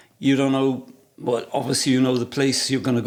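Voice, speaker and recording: A man speaks with a South Wales Valleys accent at a fairly high pitch. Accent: Welsh (South Wales valleys). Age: 60s. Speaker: photographer. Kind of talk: casual interview chat.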